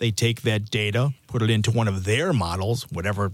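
In a very clean recording with a silent background, a man with medium pitch uses an ordinary speaking voice. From US Midwest, Chicago. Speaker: meteorologist. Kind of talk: interview.

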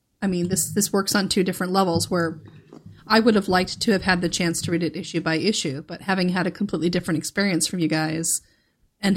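A woman with a plain, everyday voice, fairly low in pitch, with fairly even intonation. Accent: American. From US, Northern Virginia. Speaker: podcast panelist. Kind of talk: casual chat. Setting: remote podcast recording.

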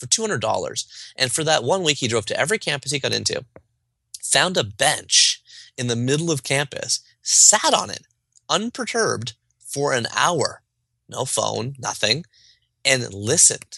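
A man with a Canadian accent talks at a moderate pace, leaving long, frequent pauses. The sound is dry and close with no echo, over a quiet background. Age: 30s. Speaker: author. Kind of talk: interview conversation. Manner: animated.

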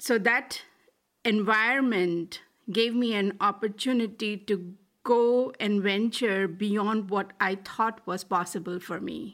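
A woman's medium-pitched voice, fairly even in intonation and very slow, on a very clean recording with a silent background. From India, Delhi. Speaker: tech executive and investor. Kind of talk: interview.

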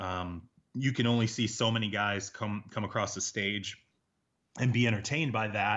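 This is a normal speaking voice with an American accent. It moves at a moderate pace with fairly even intonation. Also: man, fairly low pitch for a man. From Michigan, US Midwest. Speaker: NFL reporter. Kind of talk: casual interview.

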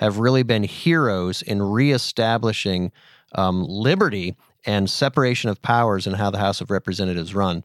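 In an unremarkable speaking voice with an American accent, a man talks at a moderate pace with ordinary pitch variation, recorded very cleanly against a silent background with a dry, close sound and no echo. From Pennsylvania. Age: 50s. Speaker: podcast host. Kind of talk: casual chat.

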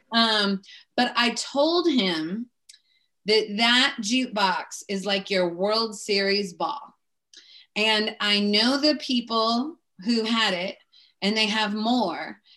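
Against a quiet background, a woman with an American accent speaks very slowly at a fairly high pitch in a bright, sharp tone, with ordinary pitch variation and long, frequent pauses. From Seattle, US Pacific Northwest. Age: 40s. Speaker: podcast host. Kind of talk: casual interview.

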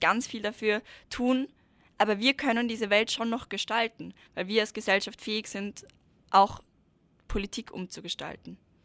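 A woman's fairly high voice at a moderate pace with fairly even intonation, dry and close with no echo, on a very clean recording with a silent background. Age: 20s. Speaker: climate activist. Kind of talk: interview.

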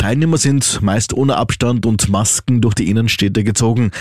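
A man with a normal speaking voice, fairly quick pace and ordinary pitch variation, on a very clean recording with a silent background. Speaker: radio news presenter. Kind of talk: brisk radio newsreading, crisp and authoritative with a light conversational lilt.

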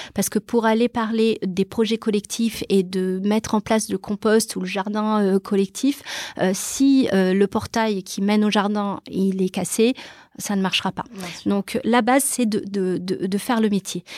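In a plain, everyday voice, a woman of medium pitch talks at a fairly slow pace with fairly even intonation, the sound dry and close with no echo. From Brazil, then Toulouse from age 12. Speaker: real estate entrepreneur, property management founder. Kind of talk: interview.

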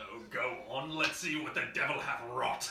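Over loud background noise, a man puts on a character voice at a fairly high pitch and speaks at a moderate pace. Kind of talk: archaic. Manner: mock-solemn, theatrical.

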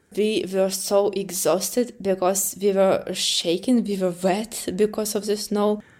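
A woman speaks at medium pitch with hardly any pauses and flat, monotone intonation. Background noise is noticeable. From Ukraine. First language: Ukrainian or Russian. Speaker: war refugee. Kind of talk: personal testimony interview. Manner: halting, with frequent fillers.

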